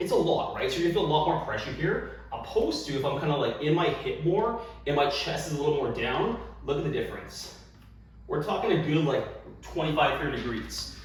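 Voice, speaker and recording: Audible room echo and noticeable background noise surround a man who speaks at a fairly quick pace. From Canada. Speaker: fitness coach. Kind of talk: tutorial. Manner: fast.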